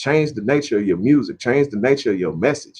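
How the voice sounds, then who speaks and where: A man with an American accent has a fairly high pitch and some vocal fry. His tone is animated. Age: 30s. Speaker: podcast host. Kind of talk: casual monologue. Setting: home studio.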